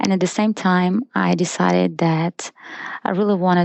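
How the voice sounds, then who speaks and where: Here a woman speaks with a Russian accent. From Russia (Izhevsk). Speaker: photographer. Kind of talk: interview.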